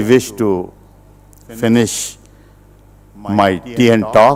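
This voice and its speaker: A man speaks at a very slow pace. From India, Uttar Pradesh. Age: 70s. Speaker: retired business executive, speaker. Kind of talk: public talk. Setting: auditorium with audience.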